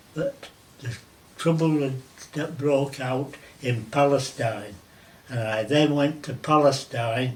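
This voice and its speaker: A man speaks at a very slow pace in a fairly high pitch, with fairly even intonation, long, frequent pauses, and noticeable background noise behind him. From Merseyside, England. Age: 80s+. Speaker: war veteran. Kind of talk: interview answer.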